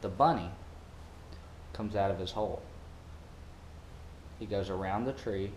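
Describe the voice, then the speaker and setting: With an American accent, the speaker talks at a moderate pace with ordinary pitch variation, and audible room echo surrounds the voice. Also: man. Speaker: parasailing worker. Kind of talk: tutorial. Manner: casual.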